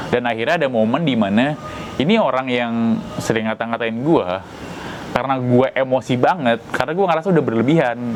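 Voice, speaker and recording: Noticeable noise in the background behind speech of ordinary pitch variation. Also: man. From Central Java (Tegal), moved to Jakarta as child. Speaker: YouTuber. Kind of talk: monologue commentary. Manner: casual, repetitive.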